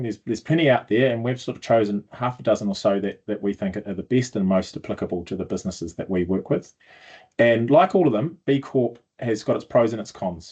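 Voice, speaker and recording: With a New Zealand accent, a man speaks at a medium pitch and a fairly quick pace. His intonation is lively. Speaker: sustainability consultant. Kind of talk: video blog explainer. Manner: hesitant, many fillers.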